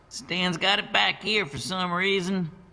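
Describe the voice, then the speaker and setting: A man's gruff, put-on character voice, high in pitch, at a moderate pace with fairly even intonation. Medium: read story. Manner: casual, gruff, friendly.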